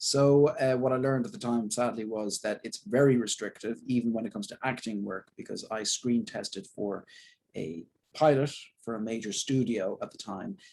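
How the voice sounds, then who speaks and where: A man with an Irish accent speaks at a medium pitch. His pace is moderate, with ordinary pitch variation. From Southern Ireland. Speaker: actor. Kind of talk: interview.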